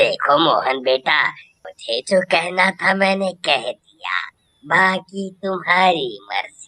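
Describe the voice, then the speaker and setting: A cartoonish character voice goes at a very slow pace with hardly any pauses, in a dry, close sound with no echo. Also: man, high pitch for a man. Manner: blunt, demanding.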